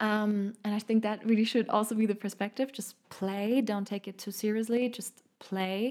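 A woman with a German accent, fairly high in pitch, in a monotone, flat intonation, at a moderate pace with hardly any pauses, on a very clean recording with a silent background. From Munich, Germany. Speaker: podcast host and healer. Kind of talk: solo podcast monologue.

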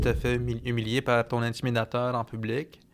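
A man speaks very slowly at a medium pitch. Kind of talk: podcast interview. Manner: halting, many fillers.

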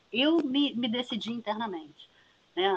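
Her voice somewhat breathy, a woman talks with ordinary pitch variation at a moderate pace. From Niterói, Rio de Janeiro state, Brazil. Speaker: geography professor. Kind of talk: interview.

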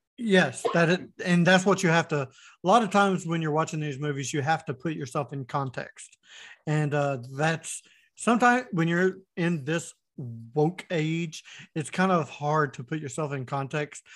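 An American accent marks this man's unremarkable speaking voice, fairly high in pitch with ordinary pitch variation. He keeps a moderate pace against a quiet background. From Florida. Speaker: YouTuber and podcaster. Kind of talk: casual chat.

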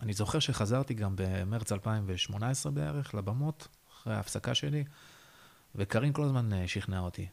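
An unremarkable speaking voice with lively intonation at a moderate pace, on a very clean recording with a silent background. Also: man, fairly low pitch for a man. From northern Israel, Haifa bay area. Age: 30s. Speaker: stand-up comedian. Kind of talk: interview.

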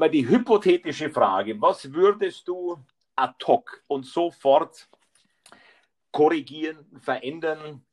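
Slowly and with long, frequent pauses, a man with a fairly high voice speaks in lively intonation, the sound dry and close with no echo. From Bavaria. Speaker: podcast host. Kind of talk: casual interview. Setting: live remote call. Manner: halting, many fillers.

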